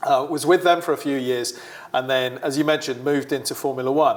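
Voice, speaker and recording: Fairly high-pitched for a man, this voice moves at a fairly quick pace with a British accent and fairly even intonation. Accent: British, often mistaken for Australian. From UK. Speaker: sports marketing executive. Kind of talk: interview.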